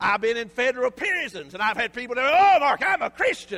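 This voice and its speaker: A man with a Southern US accent speaks in a raised, projected voice at an extremely high pitch and a moderate pace. His tone is animated, and there is noticeable background noise. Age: 50s. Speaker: pastor. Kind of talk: sermon.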